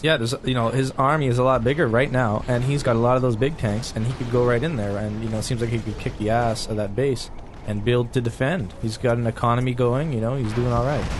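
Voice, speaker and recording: Against noticeable background noise, a man of medium pitch talks at a very fast pace with hardly any pauses. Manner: casual, excitable.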